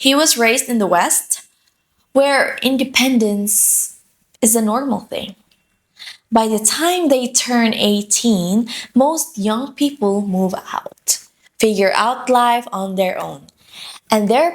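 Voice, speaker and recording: A woman with a Filipino accent, fairly high in pitch, very slow, with lively intonation. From Philippines. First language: Filipino dialect (Tagalog or regional). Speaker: lifestyle vlogger. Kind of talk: personal vlog monologue.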